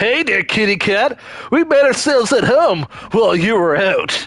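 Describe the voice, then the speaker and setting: A man uses a put-on character voice, pitched extremely high for a man, at a moderate pace. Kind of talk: casual, slangy. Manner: laid-back, mocking intruder.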